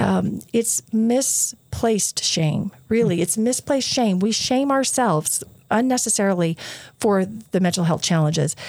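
In an American accent, a woman with an ordinary speaking voice talks at a fairly slow pace and medium pitch, with lively intonation and very even loudness. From southern Utah. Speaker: university board chair. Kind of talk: interview. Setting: studio.

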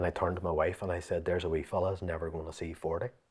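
A man with a Northern Irish accent, very deep and low in pitch, very fast, monotone and flat, somewhat breathy. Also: quiet background. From Northern Ireland. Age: 40s. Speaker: fitness coach. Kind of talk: interview.

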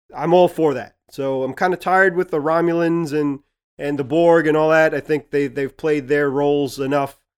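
On a very clean recording with a silent background, a man speaks in a plain, everyday voice at a fairly high pitch and moderate pace with fairly even intonation. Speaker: podcast co-host. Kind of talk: casual podcast chat about a TV show.

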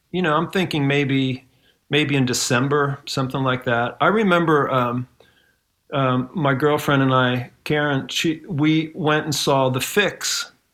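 Speaking with a Midwestern American accent, a man uses a fairly high pitch, fairly even intonation and a fairly slow pace. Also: very clean recording, silent background. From Ohio, US Midwest. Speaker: musician. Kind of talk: casual chat.

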